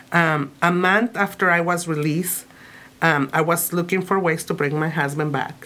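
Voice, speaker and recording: Speaking in a Spanish accent, a woman keeps a fairly low pitch, a bright, sharp tone, fairly even intonation, very even loudness and a moderate pace. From Mexico, Tijuana. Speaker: immigrant rights activist. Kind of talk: interview.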